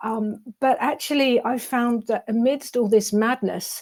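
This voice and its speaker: A woman speaks with a British accent at a fairly slow pace. Her intonation stays fairly even. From England, London. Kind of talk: interview. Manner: halting, many fillers and repeats.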